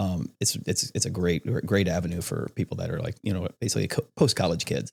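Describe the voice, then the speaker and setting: In an American accent, a man talks very fast in a very deep, low pitch with vocal fry. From Iowa, US Midwest. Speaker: wrestling coach and apparel business owner. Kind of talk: casual chat.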